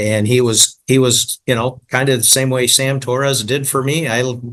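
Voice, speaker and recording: A man with an American accent speaks in an ordinary speaking voice at a medium pitch and moderate pace, with fairly even intonation. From Michigan. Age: 60s. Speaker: franchise business owner. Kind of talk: podcast interview.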